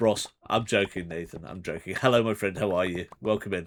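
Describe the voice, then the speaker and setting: Here a man speaks with a British accent at a moderate pace. The recording is very clean, with a silent background. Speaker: streamer. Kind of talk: casual chat. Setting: live stream.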